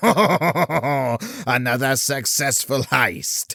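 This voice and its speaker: Putting on a character voice at a medium pitch, a man is heard with a dry, close sound with no echo. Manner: grandiose, theatrical.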